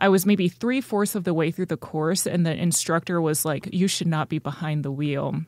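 With an American accent, a woman talks at a moderate pace in an ordinary speaking voice, her fairly low pitch showing ordinary variation. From North Texas (Richardson). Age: 20s. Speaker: stand-up comedian. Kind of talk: casual interview.

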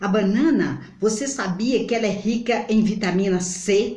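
Audible room echo surrounds this speaker. She is a woman with a fairly high pitch and a somewhat breathy voice. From Brazil. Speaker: home remedy vlogger. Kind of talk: tutorial. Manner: halting. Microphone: phone near.

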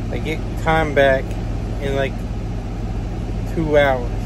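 A man speaks at a very slow pace amid noticeable background noise. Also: dry sound with no echo. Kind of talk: casual vlog chat. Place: car. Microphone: phone near.

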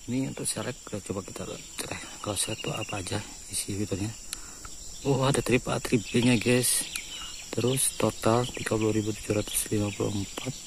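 Over clear background noise, the speaker moves at a fairly quick pace with fairly even intonation and vocal fry. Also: man, fairly low pitch for a man.

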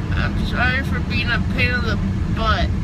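Loud background noise behind a man's moderate pace. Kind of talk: casual vlog chat. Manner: slow, slurred, drowsy mumble. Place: car. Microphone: phone near.

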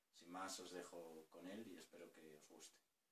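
Over light background noise and with audible room echo, a man with a very deep, low pitch speaks in a monotone, flat intonation at a moderate pace. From Spain. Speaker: poet. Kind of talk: casual talk to camera. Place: home room. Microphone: webcam.

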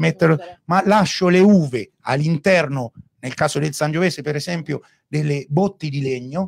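A fairly high male voice, its pitch variation ordinary. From Umbria, Gubbio. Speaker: winemaker. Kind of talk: casual chat. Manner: loud.

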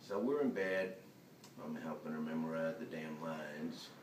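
Audible room echo colors a man's voice, with light background noise behind it. He keeps a moderate pace. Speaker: actor performing a monologue. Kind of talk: dramatic monologue. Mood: resentful, agitated. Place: hall. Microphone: camera far.

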